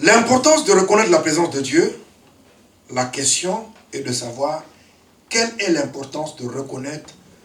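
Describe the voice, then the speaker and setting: A man's fairly slow speech with very wide pitch swings, noticeable background noise and audible room echo. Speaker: preacher. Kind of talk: sermon. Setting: church.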